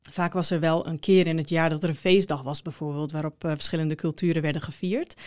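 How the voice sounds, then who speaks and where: Fairly low in pitch, a woman's voice races along at a very fast pace with hardly any pauses. Her intonation stays fairly even, and the sound is dry and close with no echo. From Netherlands, Groningen. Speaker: education researcher and lecturer. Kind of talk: interview. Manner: hesitant with many fillers.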